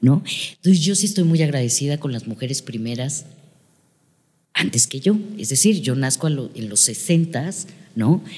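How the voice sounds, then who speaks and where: A woman's very deep, low, dark, mellow voice, somewhat breathy, with lively intonation, a fairly slow pace and long, frequent pauses. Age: 50s. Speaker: psychotherapist and family constellation facilitator. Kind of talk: interview.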